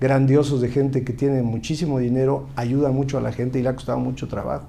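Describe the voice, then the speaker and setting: A man speaks at a fairly quick pace with a fairly high pitch. Audible room echo is present. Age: 60s. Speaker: politician, former university rector. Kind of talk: interview. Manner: halting.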